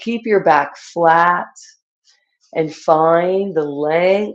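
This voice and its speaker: The speech has a calm tone and fairly even intonation. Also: woman. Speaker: yoga instructor. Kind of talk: guided yoga class. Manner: calm instructional.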